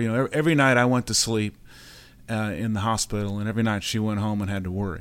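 A man's fairly low, fairly even voice comes through as an ordinary speaking voice in a very clean recording with a silent background. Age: 60s. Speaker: patient sharing recovery story. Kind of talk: interview testimony. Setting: studio.

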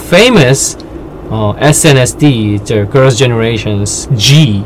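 Medium-pitched man with a Korean accent, against noticeable background noise. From South Korea. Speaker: podcast co-host, writer and translator. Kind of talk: casual chat.

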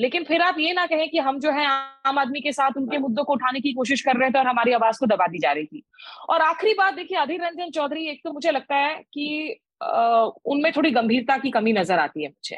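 A woman speaks at a moderate pace. Her pitch is high and her intonation lively. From India, West Bengal (Asansol), non-Bengali. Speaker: senior journalist, foreign affairs. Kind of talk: panel discussion.

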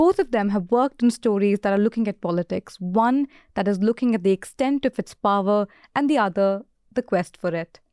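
A woman with an Indian accent speaks at a fairly quick pace in a medium pitch with a dark, mellow tone and ordinary pitch variation, recorded dry and close with no echo on a very clean track with a silent background. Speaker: podcast host and interviewer. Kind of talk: casual interview.

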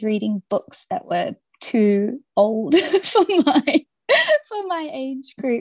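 Very slow speech comes from a woman with an Australian accent. The sound is dry and close, with no echo. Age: 30s. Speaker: author. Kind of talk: interview.

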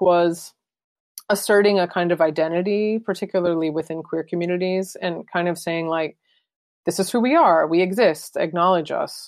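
Against a quiet background, a woman with a plain, everyday voice speaks at a moderate pace and medium pitch, with fairly even intonation. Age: 30s. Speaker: photographer and artist. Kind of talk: interview conversation.

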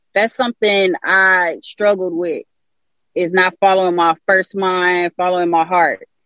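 Speech comes at a fairly slow pace in an American accent. The intonation is monotone and flat. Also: woman, medium pitch for a woman. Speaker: musician. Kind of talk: casual interview.

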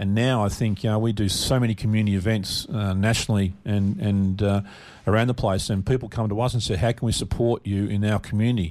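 On a very clean recording with a silent background, a man with an Australian accent speaks very fast at a fairly low pitch, with fairly even intonation and very even loudness. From Melbourne, Australia. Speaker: charity founder, bereaved father. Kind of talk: radio interview.

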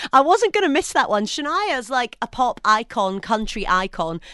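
A woman's animated, bright and sharp voice with very wide pitch swings, dry and close with no echo, over a quiet background. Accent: Scottish. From Scotland. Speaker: radio presenter. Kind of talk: casual chat. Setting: studio.

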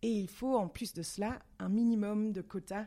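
A woman speaks at a very slow pace in a dark, mellow tone with ordinary pitch variation, on a very clean recording with a silent background. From Belgium, Brussels. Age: 30s. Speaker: parliamentary assistant and former start-up founder. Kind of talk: interview. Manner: halting.

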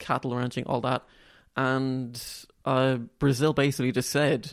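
Delivered in an Irish accent, the speech moves at a fairly slow pace with monotone, flat intonation. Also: man. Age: 20s. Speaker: student and novelist. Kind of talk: interview.

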